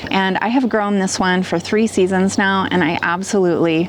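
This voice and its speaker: A woman with an American accent at a medium pitch, moderate in pace and fairly even in intonation, over noticeable background noise. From US Midwest, southwestern Ohio. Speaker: gardening youtuber. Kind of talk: tutorial. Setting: outdoors.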